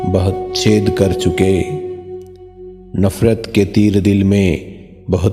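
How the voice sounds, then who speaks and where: Music plays in the background as a man talks. His pitch is very deep and low, and his intonation is fairly even. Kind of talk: sad poetry reading.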